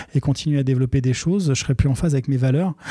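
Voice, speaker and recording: This man talks at a very fast pace in a fairly high pitch, his tone dark and mellow and somewhat breathy. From Paris suburbs, Seine-Saint-Denis (Aubervilliers). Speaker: entrepreneur, data center company CEO. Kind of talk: interview.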